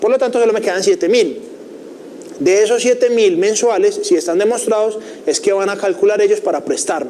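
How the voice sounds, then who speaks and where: A man's high voice at a fairly quick pace, with audible room echo and noticeable background noise. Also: lively intonation. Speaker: finance teacher. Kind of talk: lecture. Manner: fast.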